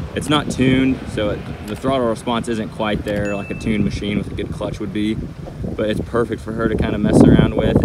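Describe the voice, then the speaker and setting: A man talking at a fairly quick pace with ordinary pitch variation, over loud background noise. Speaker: off-road vlogger. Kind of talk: casual vlog commentary. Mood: relaxed, approving. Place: open country. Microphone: phone near.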